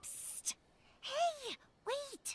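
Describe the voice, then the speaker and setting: A woman's squeaky, put-on character voice at an extremely high pitch. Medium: video game. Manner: warm, playful.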